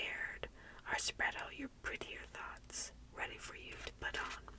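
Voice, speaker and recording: At a moderate pace, a woman speaks in a whisper. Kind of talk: whispered book reading, tingly ASMR. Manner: whispered, soft-spoken.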